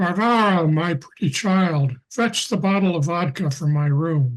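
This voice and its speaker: A man performs a put-on character voice pitched high. His loudness stays very even throughout. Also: moderate pace, ordinary pitch variation. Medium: stage play. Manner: jovial, hesitant.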